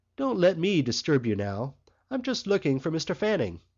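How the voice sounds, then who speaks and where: A soft-spoken man in a put-on character voice, fairly high in pitch, with very wide pitch swings at a moderate pace. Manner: discreet, indulgent, polite.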